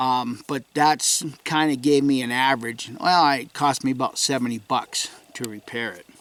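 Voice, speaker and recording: A man with a fairly high pitch speaks at a moderate speed. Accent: New England. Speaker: outdoorsman vlogger. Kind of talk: casual vlog update. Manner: hesitant, many fillers.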